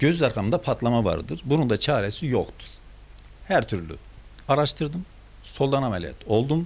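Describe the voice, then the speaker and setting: A man's medium-pitched voice with vocal fry and very wide pitch swings, at a moderate pace with long, frequent pauses. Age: 70s. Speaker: father of detained teachers. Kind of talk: interview answer.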